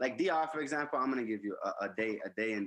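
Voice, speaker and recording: A very fast man's voice with an American accent and a bright, sharp tone. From New York, the Bronx. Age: 20s. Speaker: musician. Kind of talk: casual interview.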